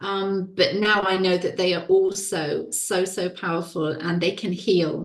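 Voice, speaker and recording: A woman talks fairly slowly in a medium-pitched, flat monotone. She leaves hardly any pauses. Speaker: women's well-being coach and author. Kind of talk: interview conversation. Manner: slow, deliberate.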